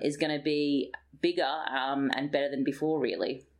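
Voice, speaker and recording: A woman with a very deep, low pitch and an Australian accent. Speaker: health psychologist, associate professor. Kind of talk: interview. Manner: hesitant with frequent fillers.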